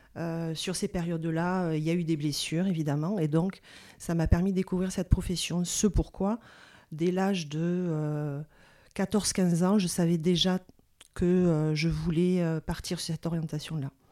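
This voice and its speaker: A woman talks at a fairly slow pace in a fairly low pitch. Her tone is dark and mellow, her intonation monotone and flat. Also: very clean recording, silent background. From southern France, Toulouse area. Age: 40s. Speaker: physiotherapist. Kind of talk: interview testimony. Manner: hesitant, many fillers.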